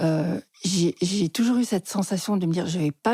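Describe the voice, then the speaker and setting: With a dark, mellow and somewhat breathy voice of medium pitch, a woman speaks at a moderate pace in a dry, close sound with no echo. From France (Lozère), partly Switzerland. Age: 60s. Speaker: psychotherapist. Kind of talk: interview storytelling.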